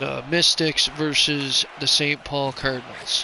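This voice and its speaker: Noticeable background noise runs under the recording. The speech moves at a very slow pace. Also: man. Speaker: video game streamer and commentator. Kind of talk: live commentary. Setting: live stream. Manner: loud.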